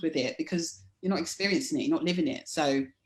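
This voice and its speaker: A woman with a London accent sounds somewhat breathy. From London, England. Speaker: life coach. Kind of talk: interview.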